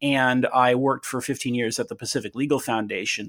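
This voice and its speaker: A normal speaking voice in a General American accent moves at a fairly quick pace with fairly even intonation, in a very clean recording with a silent background. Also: man. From Southern California. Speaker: attorney and author. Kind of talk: interview.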